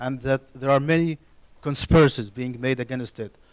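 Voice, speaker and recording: The speaker uses fairly even intonation with an Arabic accent. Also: man, dry, close sound with no echo. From Egypt. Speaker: university student, audience member. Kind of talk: studio audience question. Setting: TV studio with audience. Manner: halting, many restarts.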